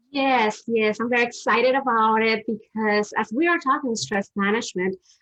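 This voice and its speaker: A woman with a strong Dominican accent speaks at a moderate pace, her pitch fairly high with ordinary variation. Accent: heavy Dominican Spanish. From Dominican Republic. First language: Spanish. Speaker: therapist. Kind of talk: interview on a live stream. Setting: live stream.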